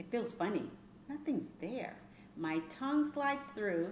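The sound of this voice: Audible room echo surrounds a woman speaking at a medium pitch. Her pace is fairly slow and her intonation lively.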